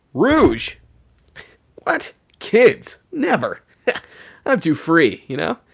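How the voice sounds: This is a put-on character voice with fairly high pitch. It moves at a very slow pace, broken by long, frequent pauses.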